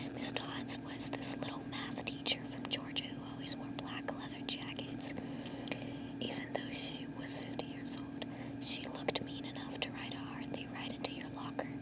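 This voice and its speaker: A woman whispers, her loudness swinging widely. Noticeable background noise sits behind her. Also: moderate pace. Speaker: ASMR reader. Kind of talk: ASMR book reading. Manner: whispered.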